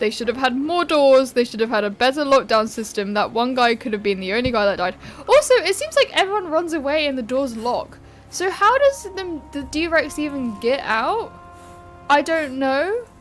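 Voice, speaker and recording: With music in the background, a woman speaks at a high pitch. Her pitch swings very widely and her pace is moderate. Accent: British. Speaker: YouTuber film reviewer. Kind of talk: casual video commentary. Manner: rambling, informal.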